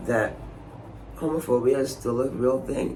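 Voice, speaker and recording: Fairly slow speech from a man, with audible room echo and noticeable background noise. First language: not English. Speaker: theatre maker and vlogger. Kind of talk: casual vlog monologue. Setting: Edinburgh during the festival. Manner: animated.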